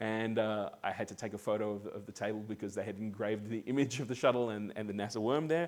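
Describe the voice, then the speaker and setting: A man with an Australian accent at a moderate pace, in a very clean recording with a silent background. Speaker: amateur radio club member giving talk. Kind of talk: presentation. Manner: halting, many fillers and repeats.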